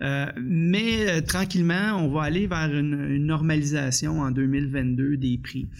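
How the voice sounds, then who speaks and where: Speaking very slowly with hardly any pauses, a man with a Quebec accent has a fairly high pitch and ordinary pitch variation, with audible room echo around him. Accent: Québécois French. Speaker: union economist. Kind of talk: interview. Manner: halting, frequent repetitions.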